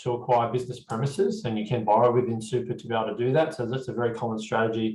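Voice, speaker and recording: A somewhat breathy man with an Australian accent and fairly even intonation. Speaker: accountant presenting a tax webinar. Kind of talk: webinar presentation. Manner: fast; hesitant, many fillers.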